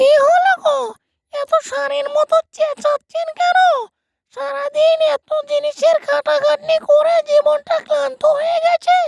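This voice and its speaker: In a cartoonish character voice of extremely high pitch, the speaker goes at a fairly slow pace with very wide pitch swings. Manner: scolding, sharp.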